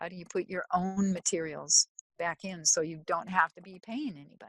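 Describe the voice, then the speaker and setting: An ordinary speaking voice from a woman with an American accent, fairly low in pitch, at a moderate pace, with ordinary pitch variation and big swings in loudness, in a dry, close sound with no echo. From US Midwest, Minnesota (Twin Cities). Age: 60s. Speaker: soil scientist. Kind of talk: interview.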